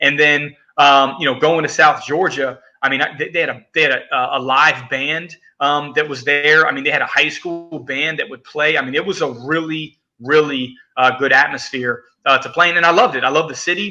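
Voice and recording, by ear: This man has a fairly high pitch and a bright, sharp tone. His intonation stays fairly even. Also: moderate pace.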